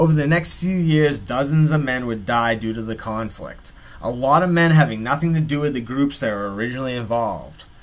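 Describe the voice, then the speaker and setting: Over noticeable background noise, a man speaks in a dramatic tone at medium pitch and a moderate pace, with ordinary pitch variation. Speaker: YouTube true-crime channel narrator. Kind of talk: true-crime narration, scripted-style storytelling. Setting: solo video narration. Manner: measured, dramatic storyteller delivery with dry, wry asides; conversational and wry, with a folksy sign-off.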